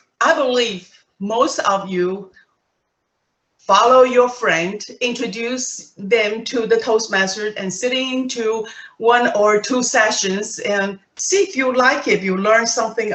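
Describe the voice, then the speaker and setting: This woman's voice is fairly high for a woman, moving at a fairly slow pace with ordinary pitch variation. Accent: non-native. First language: not English. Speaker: Toastmasters club presenter. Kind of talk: presentation to club members. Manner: conversational, some false starts.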